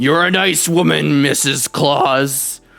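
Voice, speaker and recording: With music in the background, a man puts on a raspy character voice at a fairly high pitch and a fairly slow pace. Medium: actual play. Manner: blustery, indignant.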